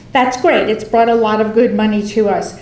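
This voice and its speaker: Audible room echo is present. A woman is talking with a fairly high voice. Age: 60s. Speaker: environmental advocate. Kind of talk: public comment at board meeting. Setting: public meeting.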